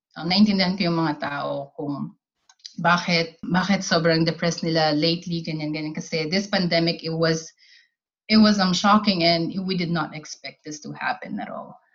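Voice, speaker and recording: A woman's voice sits at a fairly low pitch and sounds somewhat breathy, with fairly even intonation. She keeps a moderate pace, and her loudness swings widely. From Philippines. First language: Tagalog. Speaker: army cook. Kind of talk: casual chat.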